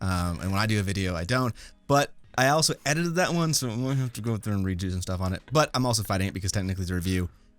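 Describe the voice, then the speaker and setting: Talking at a very fast pace, a man with a fairly low pitch uses lively intonation. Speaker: review podcast host. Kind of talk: casual chat.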